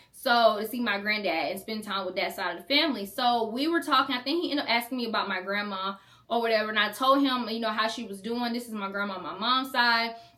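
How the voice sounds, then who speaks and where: A woman talking at a very fast pace, fairly high in pitch with ordinary pitch variation, over noticeable background noise. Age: 20s. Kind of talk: casual storytime talk to camera.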